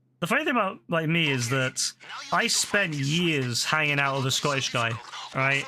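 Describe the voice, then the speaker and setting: A man at fairly high pitch with lively intonation, moderate pace and very even loudness, over noticeable background noise. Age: 30s. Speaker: video game streamer. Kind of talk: casual livestream chat. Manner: halting with many repetitions.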